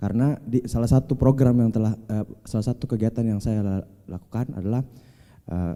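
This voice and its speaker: A man with an Indonesian accent, medium pitch and a dark, mellow tone, at a very fast pace with ordinary pitch variation. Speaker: seminar speaker on health policy. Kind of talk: seminar panel discussion.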